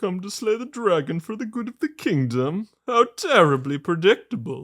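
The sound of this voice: A put-on character voice at a middle pitch swings very widely in pitch. The pace is moderate.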